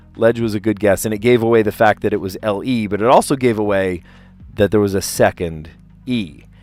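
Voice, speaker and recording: Music plays in the background as a man with an American accent speaks. His pace is fairly quick, with ordinary pitch variation. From US Northeast, South Jersey. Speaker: teacher and puzzle streamer. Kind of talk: casual chat. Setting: live stream. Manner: halting.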